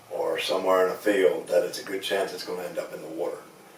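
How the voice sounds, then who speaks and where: A man with an American accent speaks at a moderate pace. Background noise is noticeable. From Eastern Shore of Maryland, USA. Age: 60s. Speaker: commercial fisherman, waterman association president. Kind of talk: interview answer.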